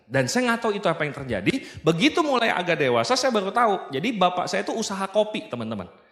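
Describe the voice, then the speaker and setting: Amid noticeable background noise, a man talks at a very fast pace with very wide pitch swings. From Indonesia, South Sumatra (Baturaja). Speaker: business motivational speaker. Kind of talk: seminar talk. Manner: casual, joking.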